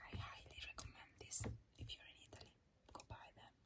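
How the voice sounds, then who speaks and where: Whispering, a woman talks at a fairly slow pace. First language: not English. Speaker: makeup ASMR creator. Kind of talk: ASMR makeup declutter, casual talk to camera. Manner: whispered. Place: home room.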